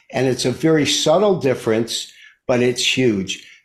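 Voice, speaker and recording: Speaking at a fairly slow pace, a man sounds somewhat breathy. He has an American accent. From US Midwest, Detroit. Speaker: market analyst. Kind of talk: interview explanation.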